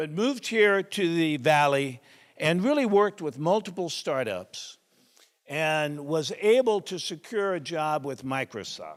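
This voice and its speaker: A loud voice with very wide pitch swings moves at a fairly slow pace on a very clean recording with a silent background. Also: man. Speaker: event host introducing speaker. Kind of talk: speaker introduction.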